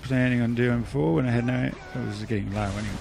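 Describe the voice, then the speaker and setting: Music plays in the background as a man with an Australian accent mumbles at a medium pitch. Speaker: gaming video creator. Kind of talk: gameplay commentary.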